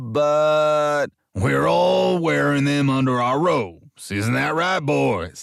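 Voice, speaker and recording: Speaking very slowly, a man puts on a character voice at a medium pitch. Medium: read story. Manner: bossy, manipulative.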